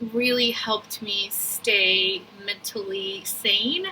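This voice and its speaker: At a very slow pace, a woman talks with a medium pitch and fairly even intonation. Noticeable background noise sits behind her. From Brazil. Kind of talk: testimonial video. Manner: casual.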